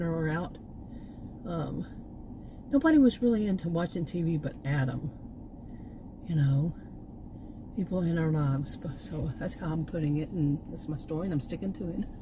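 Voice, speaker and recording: With a Texan accent, a woman of fairly low pitch talks at a moderate pace with ordinary pitch variation and long, frequent pauses. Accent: Texan (US Southern). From Texas. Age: 60s. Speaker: vlogger, former college teacher. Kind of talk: casual vlog monologue. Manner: halting, many fillers and restarts.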